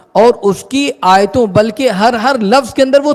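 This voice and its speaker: A man's lively intonation carries through noticeable background noise. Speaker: Islamic scholar giving a sermon. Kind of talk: Islamic sermon (bayan) in Urdu.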